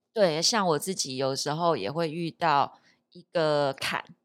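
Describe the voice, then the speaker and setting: A woman speaks at a fairly slow pace in a very deep, low voice. The recording is very clean and the background silent. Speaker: spiritual disciple, co-host. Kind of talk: casual spiritual talk podcast.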